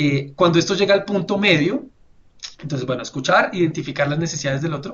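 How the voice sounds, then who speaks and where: The man's voice is high-pitched and very fast. His pitch variation is ordinary. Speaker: webinar presenter. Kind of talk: webinar presentation. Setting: online webinar. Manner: hesitant fillers.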